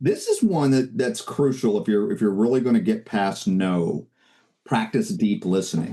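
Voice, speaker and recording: Very wide pitch swings from a man at a medium pitch, his tone dark and mellow. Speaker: real estate sales coach. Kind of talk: webinar training talk. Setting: video call webinar. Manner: energetic.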